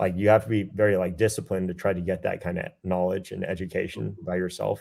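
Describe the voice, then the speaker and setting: A man with an American accent speaks very fast in a very deep, low pitch with vocal fry and fairly even intonation. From US South, Georgia. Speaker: military officer and recent graduate. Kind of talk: webinar interview.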